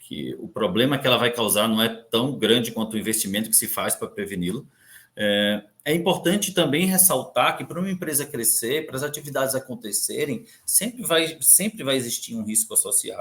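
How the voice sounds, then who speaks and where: A man's voice sits at a fairly high pitch and moves through very wide pitch swings. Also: moderate pace. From Brazil, Recife (Pernambuco). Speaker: compliance and audit director. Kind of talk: conference talk. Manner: halting, many fillers and repeats.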